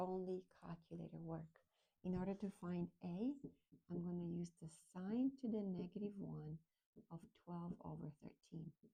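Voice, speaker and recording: Somewhat breathy and dark and mellow in tone, the voice shows ordinary pitch variation. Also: woman. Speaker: math teacher. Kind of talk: tutorial. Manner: fast.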